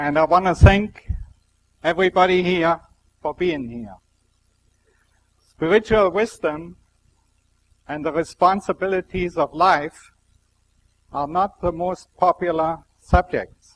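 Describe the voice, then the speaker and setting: With a strong German accent, a man speaks at a high pitch and a fairly slow pace, with ordinary pitch variation, big swings in loudness, long, frequent pauses, and a dry, close sound with no echo. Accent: heavy German. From Germany. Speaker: scientist giving a spiritual talk. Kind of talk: public lecture.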